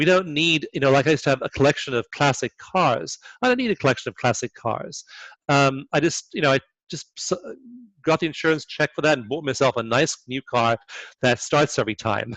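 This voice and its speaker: The sound is dry and close with no echo as a man talks at a fairly quick pace, fairly high in pitch with ordinary pitch variation. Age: 60s. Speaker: author and energy psychology researcher. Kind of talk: interview. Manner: halting, many repetitions.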